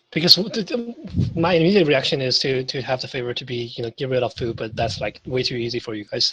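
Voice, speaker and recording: Speaking very fast with hardly any pauses, a man with a non-native accent keeps a medium pitch and ordinary pitch variation. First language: not English. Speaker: tabletop game master. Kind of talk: tabletop role-playing session. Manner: halting, many restarts.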